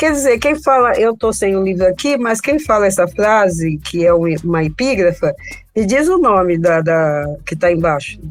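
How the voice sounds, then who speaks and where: Her pitch is medium for a woman, yet it moves in very wide swings. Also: moderate pace. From São Paulo, Brazil. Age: 70s. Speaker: novelist. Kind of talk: interview.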